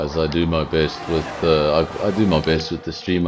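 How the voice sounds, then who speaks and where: Over noticeable background noise, a man with a very deep, low voice speaks at a moderate pace in a monotone, flat delivery. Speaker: sim racing commentator. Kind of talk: live commentary. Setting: home streaming setup. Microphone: sound issues, mic and headphones not split.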